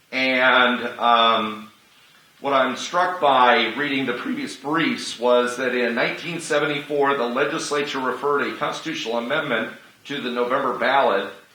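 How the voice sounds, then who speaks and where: A man talks at a moderate pace and medium pitch with ordinary pitch variation, with audible room echo and noticeable background noise. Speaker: activist arguing his own case in court. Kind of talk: courtroom oral argument. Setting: courtroom. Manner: loud.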